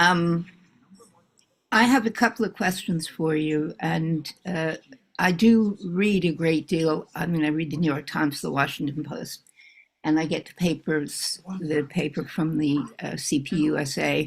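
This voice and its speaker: An American-accented woman speaks at a fairly slow pace in a very deep, low pitch, with ordinary pitch variation and big swings in loudness. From United States. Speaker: audience member asking questions. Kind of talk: question at online forum.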